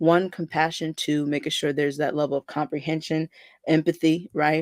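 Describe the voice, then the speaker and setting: The sound is dry and close, with no echo. A man speaks in a fairly high pitch with monotone, flat intonation. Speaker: bible teacher. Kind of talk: bible teaching. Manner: fast.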